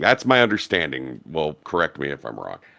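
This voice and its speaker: A man's very deep, low voice with vocal fry and a bright, sharp tone, recorded very cleanly against a silent background with a dry, close sound and no echo. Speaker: podcaster. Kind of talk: casual podcast chat.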